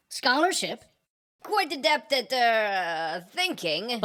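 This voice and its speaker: Using a put-on character voice, a woman speaks at a very slow pace and a high pitch with very wide pitch swings. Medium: read story.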